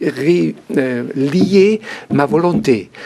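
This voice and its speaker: Lively in intonation, a man with fairly high pitch and a dark, mellow tone speaks with vocal fry. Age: 60s. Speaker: author giving life testimony. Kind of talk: interview testimony. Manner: halting.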